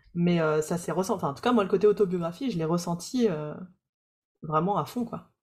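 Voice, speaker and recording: A woman's somewhat breathy, fairly low-pitched voice at a fairly quick pace, with ordinary pitch variation. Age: 30s. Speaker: podcast host and coach for practitioners. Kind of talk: interview.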